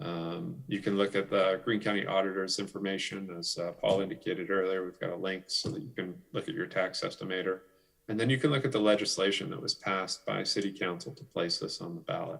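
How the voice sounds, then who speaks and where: Speaking at a fairly quick pace with hardly any pauses, a man with a fairly low pitch uses lively intonation. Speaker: city official presenting a street levy. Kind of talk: presentation at a club meeting. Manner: fast.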